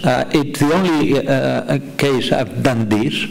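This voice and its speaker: Noticeable background noise sits under a man speaking in a fairly high voice with a Catalan accent. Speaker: novelist. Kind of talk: panel discussion. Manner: halting.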